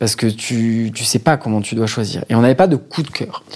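Moderate pace and ordinary pitch variation from a male speaker. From Marseille, southern France. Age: 30s. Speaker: banker and father. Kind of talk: casual interview. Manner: hesitant, many fillers.

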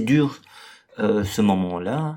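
This is a man speaking. His pitch is fairly low. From Brussels, Belgium. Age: 40s. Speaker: restaurant owner and separated father. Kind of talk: personal testimony interview. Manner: hesitant, many fillers and repetitions.

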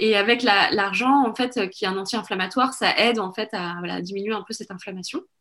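At a fairly quick pace with hardly any pauses, a woman talks in a fairly high, bright, sharp voice with ordinary pitch variation. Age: 40s. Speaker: women's wellness course founder. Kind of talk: podcast interview. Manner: hesitant, many fillers.

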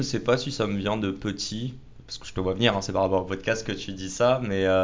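A man with a fairly low pitch speaks at a moderate pace. His intonation is fairly even, and the room echo is audible. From Paris. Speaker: podcaster and entrepreneur. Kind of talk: casual interview. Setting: office studio.

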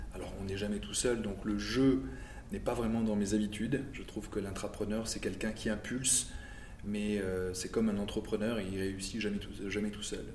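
In a room with audible echo, a man with a fairly low pitch talks at a moderate pace with fairly even intonation. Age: 50s. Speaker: car industry manager. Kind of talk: interview. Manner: halting, many repetitions and fillers.

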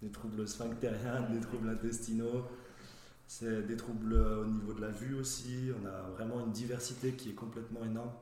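Amid noticeable background noise and audible room echo, a man speaks at a moderate pace and medium pitch in a monotone, flat intonation. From Saint-Étienne area, France. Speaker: physiotherapist. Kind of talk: casual professional interview.

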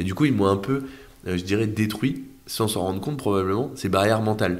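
A man speaks at a very fast pace with ordinary pitch variation. Audible room echo surrounds his voice. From France, Orléans area then Brittany. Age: 20s. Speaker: young real estate investor and entrepreneur. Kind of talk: casual interview. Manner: hesitant, many fillers.

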